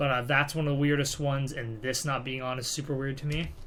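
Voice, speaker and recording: A man talks at a moderate pace and medium pitch. Room echo can be heard clearly. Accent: American. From California, US. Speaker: gaming YouTuber. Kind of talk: let's play commentary. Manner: soft-spoken; casual, hesitant with fillers.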